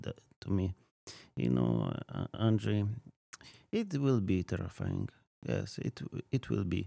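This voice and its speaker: A man with a Polish accent speaks fairly slowly in a very deep, low pitch and a dark, mellow tone, the sound dry and close with no echo. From Poland, near Krakow. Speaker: ministry field representative. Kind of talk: casual interview. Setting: studio. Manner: halting, many fillers.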